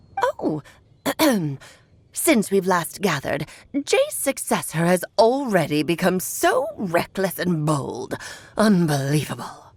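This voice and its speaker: A woman puts on a character voice at a medium pitch. She goes at a fairly slow pace with long, frequent pauses. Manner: haughty, scornful.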